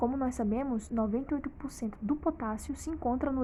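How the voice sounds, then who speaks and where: Very fast, fairly high-pitched speech from a woman, its intonation fairly even. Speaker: medical educator. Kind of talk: tutorial.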